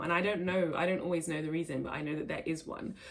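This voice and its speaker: Over noticeable background noise, a woman with an English accent talks at a very fast pace. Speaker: vlogger. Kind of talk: casual vlog talk. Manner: stumbling over words.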